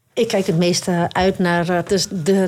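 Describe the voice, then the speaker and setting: A woman talks at a medium pitch. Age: 30s. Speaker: navy sergeant-major. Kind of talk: interview. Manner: hesitant with fillers.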